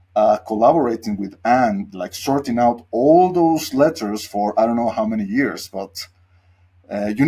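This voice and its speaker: A man with a Spanish accent speaks at a moderate pace in a dark, mellow tone, his pitch swinging very widely. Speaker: podcast host. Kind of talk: casual interview.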